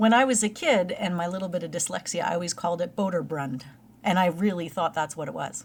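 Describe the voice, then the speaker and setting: Her delivery as a woman is extremely rapid. She sits fairly low in pitch, and her pitch moves in a normal way. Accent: slight Canadian. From Canada.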